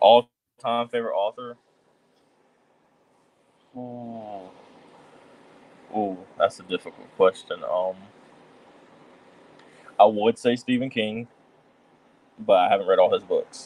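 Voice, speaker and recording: A man in a put-on character voice with a Mississippi accent, drawling at a medium pitch, relaxed in tone, at a fairly slow pace with long, frequent pauses. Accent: Mississippi Southern. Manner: relaxed, drawling.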